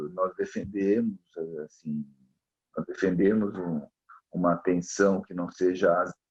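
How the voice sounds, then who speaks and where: The delivery is fairly slow, with monotone, flat intonation and long, frequent pauses. Loudness swings widely throughout. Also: man, very deep, low pitch for a man. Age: 60s. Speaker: psychiatrist and professor. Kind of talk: interview conversation. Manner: halting, many repetitions and fillers.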